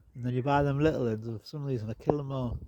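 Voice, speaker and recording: A man talks very fast with lively intonation against noticeable background noise. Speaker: gardening vlogger. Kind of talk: casual garden walk-around. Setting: outdoors in garden. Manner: rambling conversational.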